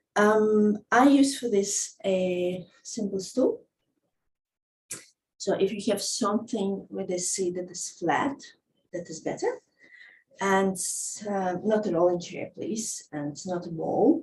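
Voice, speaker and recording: Speaking very slowly with long, frequent pauses, a woman uses a non-native accent and a somewhat breathy, medium-pitched voice. Her pitch varies in an ordinary way, while her loudness swings widely. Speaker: movement teacher. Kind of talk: casual talk to camera.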